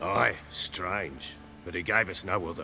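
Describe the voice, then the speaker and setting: A man's put-on character voice, raspy and gruff, at a fairly slow pace over clear background noise. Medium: video game. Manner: gruff, coarse, blunt.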